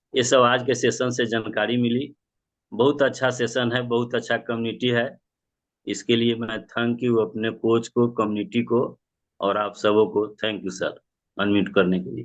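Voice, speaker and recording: With fairly even intonation, this is a plain, everyday voice. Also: man, medium pitch for a man. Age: 60s. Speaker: club member sharing results. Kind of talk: testimony.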